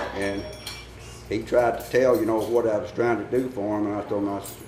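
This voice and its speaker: A man with a Tennessee accent at a fairly quick pace, with audible room echo. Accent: US Southern (Tennessee). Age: 70s. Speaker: barber. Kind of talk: interview storytelling.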